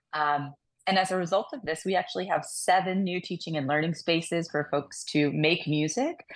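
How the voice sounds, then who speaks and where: Against a quiet background, a woman talks at a moderate pace in a fairly low pitch. It is a plain, everyday voice with ordinary pitch variation. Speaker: music school executive director. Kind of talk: casual radio interview.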